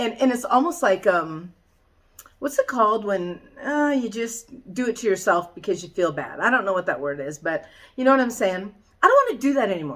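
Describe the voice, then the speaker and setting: A woman speaks in an animated tone at a fairly high pitch with very wide pitch swings. Her pace is fairly quick. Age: 60s. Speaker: fitness vlogger. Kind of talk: casual vlog monologue.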